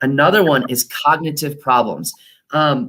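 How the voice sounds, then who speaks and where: A man talks in a normal speaking voice at a fairly high pitch. His intonation is lively. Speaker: chiropractor. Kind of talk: workshop talk. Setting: live online workshop.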